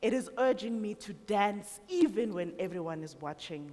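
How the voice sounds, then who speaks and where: At a fairly slow pace, a woman speaks at a medium pitch with lively intonation. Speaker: radio host. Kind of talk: poetic live talk.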